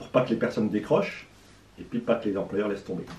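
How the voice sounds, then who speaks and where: A somewhat breathy, dark, mellow tone with audible room echo. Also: man. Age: 60s. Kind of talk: interview. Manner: hesitant with fillers.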